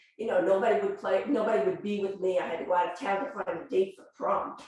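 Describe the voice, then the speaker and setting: A woman's medium-pitched voice with lively intonation and audible room echo. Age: 60s. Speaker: yoga student and volunteer yoga teacher. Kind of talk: sharing circle testimony. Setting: yoga studio group circle.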